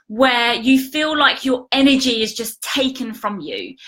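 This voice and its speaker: Her voice is raised and projected, high-pitched, with a bright, sharp tone from this woman. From British. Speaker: life coach. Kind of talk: casual live stream talk to viewers.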